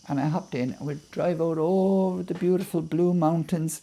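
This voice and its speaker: A man with an Irish accent speaks at a moderate pace in a fairly high pitch with a dark, mellow tone. His pitch varies in an ordinary way on a very clean recording with a silent background. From Ireland. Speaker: poet. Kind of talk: storytelling interview.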